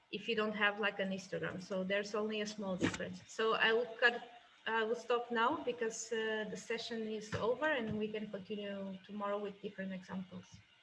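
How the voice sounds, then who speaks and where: Fairly quick and fairly even in intonation, the woman's speech sits over noticeable background noise. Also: fairly high pitch for a woman. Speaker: software product specialist. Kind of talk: tutorial. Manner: fast.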